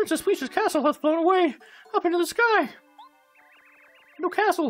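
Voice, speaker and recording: A put-on character voice at an extremely high pitch moves at a moderate pace, with faint music in the background. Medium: game stream. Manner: frantic, shouting.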